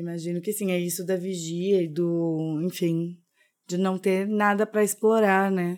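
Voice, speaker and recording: At a fairly slow pace and medium pitch, a woman speaks in a monotone, flat intonation on a very clean recording with a silent background. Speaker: consultant and podcast co-host. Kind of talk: casual chat.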